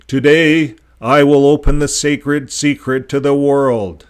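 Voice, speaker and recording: At a fairly slow pace, a man performs a put-on character voice pitched fairly high. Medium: read story.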